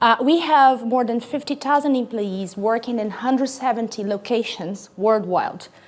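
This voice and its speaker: Speaking at a fairly slow pace with a Brazilian accent, a woman uses a fairly high pitch and ordinary pitch variation. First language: Portuguese. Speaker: corporate sustainability executive. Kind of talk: conference talk. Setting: stage with audience. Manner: loud; energetic.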